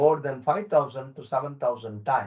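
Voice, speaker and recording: A man's somewhat breathy voice with a fairly high pitch. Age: 70s. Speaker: neurosurgeon and telemedicine pioneer. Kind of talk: virtual talk. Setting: video call.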